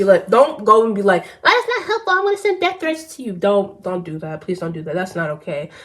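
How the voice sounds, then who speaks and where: Against noticeable background noise, a woman at medium pitch makes very wide pitch swings. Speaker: YouTuber talking about art. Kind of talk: casual vlog rant. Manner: halting, repeats words.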